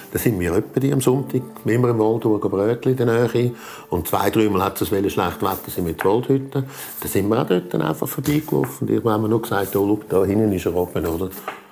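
A man with a fairly low pitch talks at a fairly quick pace with ordinary pitch variation, noticeable background noise behind him. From Switzerland, canton Zurich. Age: 60s. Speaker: volunteer firefighter. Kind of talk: testimony. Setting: at home, dining table.

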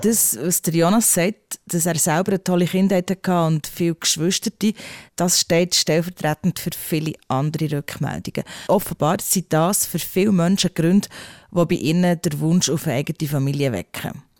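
On a very clean recording with a silent background, a woman with a fairly low pitch speaks in a normal speaking voice at a moderate pace with ordinary pitch variation. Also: dry, close sound with no echo. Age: 40s. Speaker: podcast host. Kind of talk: casual chat.

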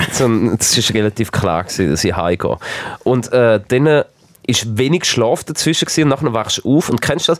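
With a Swiss accent, a man talks at a moderate pace and medium pitch, his intonation lively and his loudness very even. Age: 30s. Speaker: distribution manager at a broadcaster. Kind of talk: casual chat. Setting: studio.

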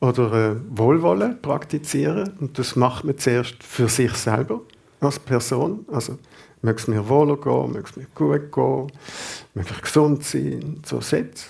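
A man's dark, mellow voice at medium pitch, with vocal fry, lively intonation and a fairly slow pace. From Basel, Switzerland. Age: 50s. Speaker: Zen meditation teacher. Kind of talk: radio interview. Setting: radio studio.

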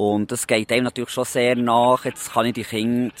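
A man, heard with a dry, close sound and no echo. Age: 40s. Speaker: postman. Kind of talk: interview. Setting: outdoors in a park. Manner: halting.

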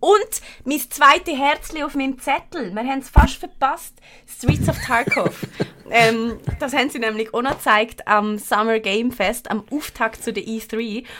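A woman with a Swiss accent speaks at a fairly slow pace in an animated tone. Her pitch is high, with ordinary variation. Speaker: podcast host. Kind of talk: casual chat.

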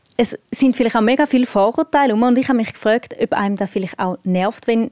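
The tone is dark and mellow, with fairly even intonation. The speaker has a Swiss accent. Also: woman. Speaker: radio host. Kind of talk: casual chat. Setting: outdoors.

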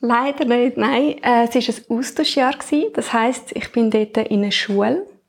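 A woman talks in a high pitch with hardly any pauses. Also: ordinary pitch variation. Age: 20s. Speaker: podcast co-host, new team member. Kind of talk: casual chat. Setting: at home, dining table.

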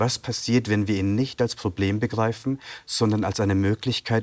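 At a moderate pace, a man with an unremarkable speaking voice, fairly low pitch and fairly even intonation is heard on a very clean recording with a silent background. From Bavaria, Germany (Sri Lankan Tamil family). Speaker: novelist. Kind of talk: interview. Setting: TV studio.

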